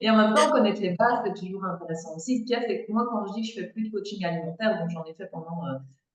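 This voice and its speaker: A woman talks at a very fast pace with hardly any pauses. Her medium pitch shows ordinary variation, and her loudness swings widely. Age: 30s. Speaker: food coach. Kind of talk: casual chat. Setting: outdoors, video call.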